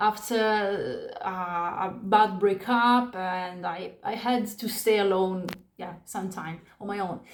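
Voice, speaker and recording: Speaking at a very slow pace with an Italian accent, a woman keeps a fairly even intonation but swings widely in loudness, amid audible room echo and noticeable background noise. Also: medium pitch for a woman. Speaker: spiritual vlogger. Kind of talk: personal testimony. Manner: halting.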